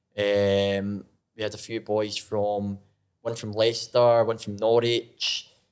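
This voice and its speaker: In a very clean recording with a silent background, a man speaks at a fairly low pitch and a very slow pace in flat, monotone intonation. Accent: Scottish. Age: 20s. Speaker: former college soccer player. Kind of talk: casual chat. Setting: studio.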